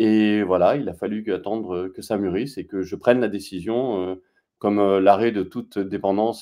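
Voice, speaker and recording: Against a quiet background, a man speaks in a dark, mellow tone at a fairly low pitch. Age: 40s. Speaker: real estate worker turned photographer; interview guest. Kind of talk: testimony interview. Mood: calm, reflective. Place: home room. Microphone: video call.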